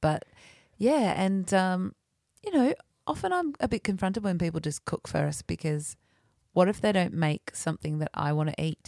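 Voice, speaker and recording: A woman's voice, a normal speaking voice, at a fairly low pitch with ordinary pitch variation, in a dry, close sound with no echo, on a very clean recording with a silent background. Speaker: podcast host. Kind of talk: casual chat, banter. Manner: playful, joking.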